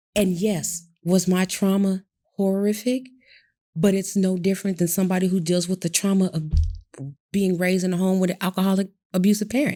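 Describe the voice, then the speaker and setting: A woman's monotone, flat voice with an American accent, very even loudness and a fairly quick pace, with music in the background. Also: medium pitch for a woman. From Michigan, near Detroit. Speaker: abuse survivor and speaker. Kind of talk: interview testimony.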